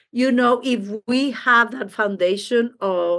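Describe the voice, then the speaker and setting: A woman speaks with a Mexican accent over a quiet background. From Mexico City. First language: Spanish. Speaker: intercultural trainer and coach. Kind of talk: interview conversation.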